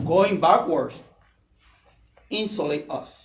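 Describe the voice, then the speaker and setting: Very slow speech in a Puerto Rican accent, with ordinary pitch variation and audible room echo. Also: man. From Puerto Rico. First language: Spanish. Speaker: political candidate. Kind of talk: campaign speech. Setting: candidates forum with audience.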